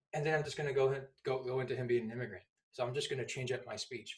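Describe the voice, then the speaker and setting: This man talks at a very fast pace in a somewhat breathy, medium-pitched voice. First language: not English. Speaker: public speaking instructor. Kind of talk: tutorial. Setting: at home. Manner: animated.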